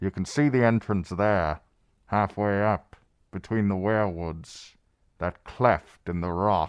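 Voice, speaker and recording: A man puts on a character voice at a fairly slow pace. The recording is very clean, with a silent background. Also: fairly low pitch for a man. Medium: read story. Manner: terse, grim.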